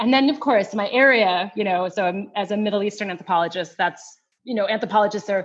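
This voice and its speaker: With a Western New York accent, a woman speaks at a fairly quick pace with ordinary pitch variation. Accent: American, Western New York. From US Northeast, Rochester, New York. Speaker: anthropology professor. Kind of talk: interview. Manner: halting, many fillers and restarts.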